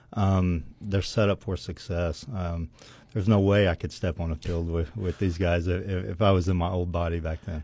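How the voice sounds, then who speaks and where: Speaking with an American accent, a man with a very deep, low voice sounds somewhat breathy, his intonation fairly even. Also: moderate pace. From Western Oklahoma, Weatherford. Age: 40s. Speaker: former college football player. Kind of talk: casual interview. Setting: radio studio. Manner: halting, many fillers.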